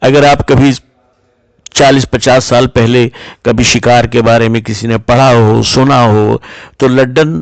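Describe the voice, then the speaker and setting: This is a man with an ordinary speaking voice. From western Uttar Pradesh, India (Najibabad, Bijnor). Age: 60s. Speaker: storyteller, business owner. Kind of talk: personal storytelling.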